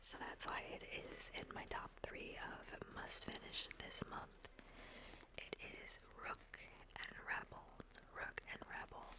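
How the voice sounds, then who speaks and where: Against noticeable background noise, a woman whispers at a very slow pace with long, frequent pauses. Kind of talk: ASMR book talk to camera. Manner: whispered.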